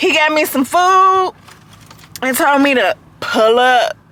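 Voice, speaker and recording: A woman's raised, projected voice at a high pitch, with noticeable background noise. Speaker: vlogger. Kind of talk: casual vlog talk to camera.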